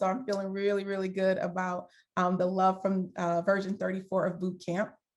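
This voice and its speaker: A woman with a New York accent talks at a medium pitch. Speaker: design thinking coach, former HR executive. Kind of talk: guest talk to workshop participants. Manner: casual, filler-heavy.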